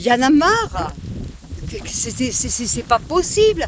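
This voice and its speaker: Very wide swings in pitch over noticeable background noise. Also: woman. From southern France, Nîmes. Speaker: vlogger. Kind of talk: rant to camera. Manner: animated, loud.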